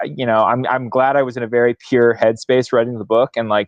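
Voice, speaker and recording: A man speaks with an American accent at medium pitch. His intonation stays fairly even. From US Midwest, St. Louis, Missouri. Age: 20s. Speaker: author. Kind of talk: book club discussion.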